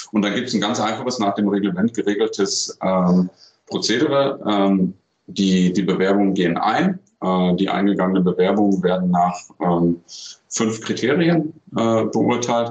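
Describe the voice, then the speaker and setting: A man with an ordinary speaking voice talks at a moderate pace. His pitch is fairly low, with ordinary pitch variation and very even loudness. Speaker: handball federation media communications official. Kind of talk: recorded interview answers.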